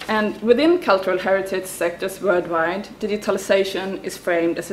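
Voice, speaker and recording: A woman's medium-pitched voice at a fairly quick pace, fairly even in intonation, with audible room echo and noticeable background noise. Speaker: academic researcher. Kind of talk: conference talk read from paper. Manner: halting with fillers.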